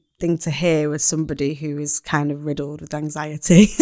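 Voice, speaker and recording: In a Mancunian accent, a woman speaks on a very clean recording with a silent background. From Manchester, northern England. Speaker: poet. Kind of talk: casual chat.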